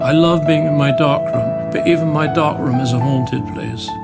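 A man speaks at a moderate pace over loud music in the background. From north London. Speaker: war photographer. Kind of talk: documentary interview. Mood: reflective, haunted, quiet. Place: home room.

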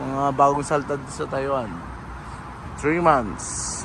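Audible room echo and noticeable background noise surround a man speaking at a fairly slow pace in a fairly high pitch. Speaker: vlogger, Filipino migrant worker in Taiwan. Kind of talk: casual vlog narration.

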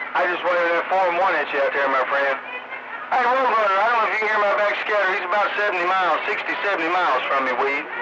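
Loud background noise beneath a man's very fast pace. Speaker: CB radio operator. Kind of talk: radio chatter. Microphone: two way radio.

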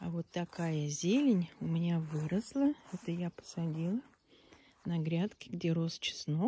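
A woman speaks at a very slow pace in a fairly low pitch, her tone dark and mellow. Her voice is somewhat breathy, with light background noise. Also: lively intonation, dry sound with no echo. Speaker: village vlogger. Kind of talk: casual video tour. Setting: outdoors. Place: garden. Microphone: phone near.

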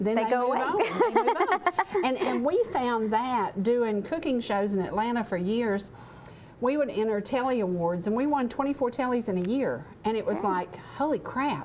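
A woman speaks in a high voice with lively intonation, and light background noise sits behind her. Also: moderate pace. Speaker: talk show host. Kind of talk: interview conversation. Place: studio.

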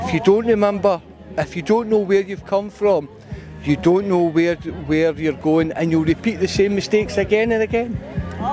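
With a Scottish accent, a man talks at a moderate pace in a high pitch with ordinary pitch variation, the sound dry with no echo and clear music in the background. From Scotland. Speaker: historical reenactor. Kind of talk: interview answer. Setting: outdoors. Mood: earnest, reflective. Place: open country. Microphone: handheld.

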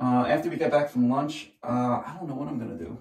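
In a quiet background, a man talks at a fairly quick pace with audible room echo. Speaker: tile contractor. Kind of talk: casual work vlog explanation. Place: bathroom. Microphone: camera far.

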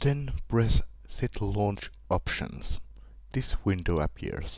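A man speaks with a Finnish accent. His pace is very slow. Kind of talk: screen-recorded software tutorial.

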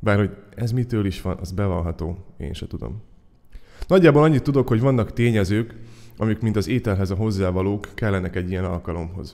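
Fairly low in pitch, a man talks at a fairly quick pace with a dark, mellow tone. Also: ordinary pitch variation. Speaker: poet and slammer. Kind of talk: spoken-word poetry essay performed to an audience. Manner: witty, ironic, rhetorical, building with wry humor.

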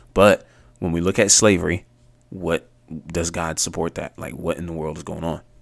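Fairly even in intonation, a man speaks at a fairly quick pace. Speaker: bible teaching vlogger. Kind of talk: casual teaching vlog. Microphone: studio mic.

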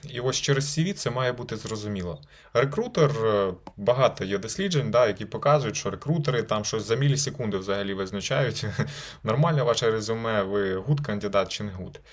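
This man has a normal speaking voice at a medium pitch. His intonation is lively and his pace is moderate. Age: 20s. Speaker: lawyer. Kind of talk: video blog advice talk. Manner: casual.

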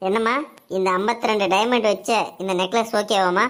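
A woman puts on a cartoonish character voice at a medium pitch. Her delivery is monotone and flat, at a moderate pace. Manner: obliging, salesman-like.

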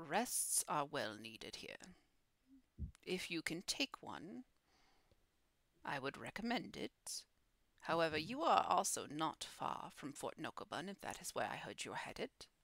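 A woman's put-on character voice, fairly low in pitch, at a moderate pace with long, frequent pauses. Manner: calm, solemn, cautionary.

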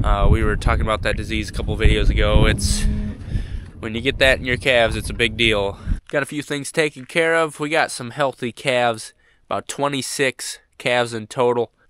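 Moderate-paced speech from a man, dry and close with no echo, with music in the background. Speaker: farmer and rancher. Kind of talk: casual vlog narration. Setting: outdoors on the farm. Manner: chatty, relaxed.

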